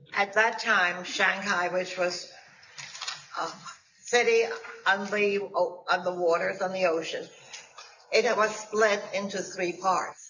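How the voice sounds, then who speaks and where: Noticeable background noise surrounds a woman at medium pitch in a monotone, flat voice. She speaks at a very slow pace with long, frequent pauses. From Germany. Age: 90s. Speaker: Holocaust survivor. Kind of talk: testimony.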